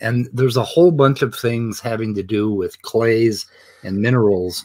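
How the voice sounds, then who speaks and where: A man speaks at a moderate pace and medium pitch with ordinary pitch variation, in a very clean recording against a silent background. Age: 60s. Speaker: show host. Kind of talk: casual discussion of a debate on live stream. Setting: live stream from home. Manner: animated, laughs often.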